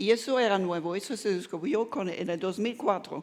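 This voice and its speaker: A woman speaks with a German accent and ordinary pitch variation. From Germany. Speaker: neuroscience professor. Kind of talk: lecture. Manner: halting, with frequent self-corrections.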